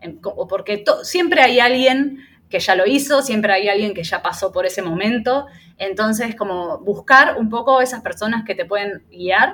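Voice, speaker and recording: Fairly high pitch and lively intonation from a woman, at a medium tempo. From Argentina. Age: 30s. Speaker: Reiki teacher and small business owner. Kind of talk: interview. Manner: hesitant, many fillers.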